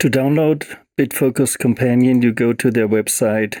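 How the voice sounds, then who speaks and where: A man's fairly slow delivery with a non-native accent, in a dry, close sound with no echo. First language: not English. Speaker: music software tutorial creator. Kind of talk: tutorial. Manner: halting, with fillers.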